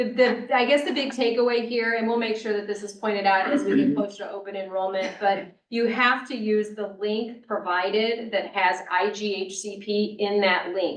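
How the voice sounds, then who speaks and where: A woman with an ordinary speaking voice talks at a moderate pace and fairly high pitch. Her intonation is fairly even, with hardly any pauses. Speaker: benefits consultant presenting to county board. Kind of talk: business presentation at public meeting.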